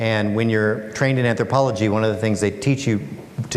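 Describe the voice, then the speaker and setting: The voice shows ordinary pitch variation. There is audible room echo and noticeable background noise. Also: man. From Alaska, USA. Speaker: author and speaker. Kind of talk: public talk.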